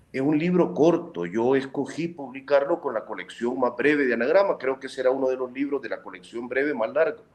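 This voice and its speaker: An ordinary speaking voice from a man, medium in pitch, fairly quick in pace, with ordinary pitch variation. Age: 40s. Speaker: journalist and author. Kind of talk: interview.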